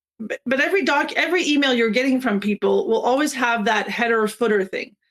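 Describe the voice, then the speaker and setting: A woman's high-pitched voice, very fast and lively in intonation. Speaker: software trainer. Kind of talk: webinar tutorial.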